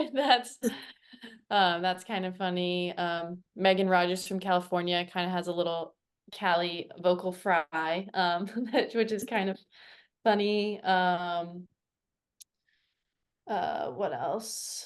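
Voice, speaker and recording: In an American accent, a woman speaks at a very slow pace with long, frequent pauses against a quiet background. Her pitch is medium, with ordinary variation. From US, Virginia Beach, Virginia. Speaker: field hockey player. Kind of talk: podcast interview.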